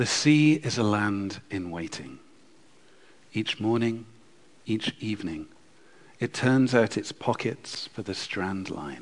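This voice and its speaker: A man speaks at a very slow pace with long, frequent pauses. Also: fairly low pitch for a man. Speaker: poet. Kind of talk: poetry reading and panel discussion. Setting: stage with audience.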